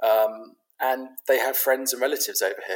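Here a man speaks with a London accent. His pace is moderate. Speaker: pet property business founder. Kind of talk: casual interview. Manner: halting, many fillers.

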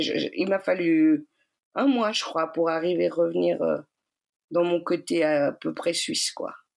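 The recording is very clean, with a silent background. The speech goes at a very slow pace. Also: woman. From Switzerland, Geneva. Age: 40s. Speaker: energy healer and shaman. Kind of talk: personal testimony. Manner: hesitant with many fillers.

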